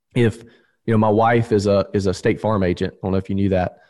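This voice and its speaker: In a dark, mellow tone, a man with a Southern US accent talks very fast at a fairly low pitch with fairly even intonation over a quiet background. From US South, Alabama. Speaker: insurance agency owner. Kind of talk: interview.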